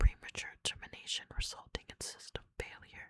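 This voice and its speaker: A woman is whispering. Her words are breathed rather than voiced. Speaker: ASMR creator. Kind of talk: ASMR reading of game terminal text. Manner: whispered, soft-spoken.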